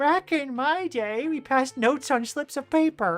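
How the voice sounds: A female-sounding voice, high in pitch, performs a put-on character voice over faint music in the background. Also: moderate pace.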